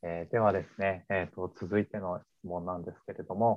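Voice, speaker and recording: This man has an ordinary speaking voice, pitched fairly low and moving at a fairly quick pace. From Yokohama, Kanagawa (Kanto). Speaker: company podcast host, employee. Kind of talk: casual chat. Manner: polite, filler-heavy.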